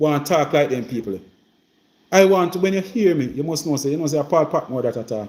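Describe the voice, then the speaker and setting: A fairly quick, animated voice in a rural Jamaican accent, on a very clean recording with a silent background. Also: man. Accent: Jamaican Patois, rural. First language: Jamaican Patois. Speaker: member of parliament. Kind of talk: casual live-stream chat. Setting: live stream. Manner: repetitive, animated.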